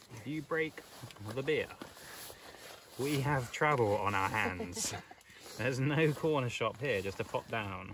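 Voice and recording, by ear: Speaking at a slow pace with long, frequent pauses, a man at medium pitch has a fairly bright tone and lively intonation over faint background noise.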